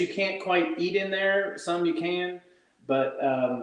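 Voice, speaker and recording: Audible room echo follows a man who speaks very slowly in a high pitch. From Ireland, Cork. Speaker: musician. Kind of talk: casual chat.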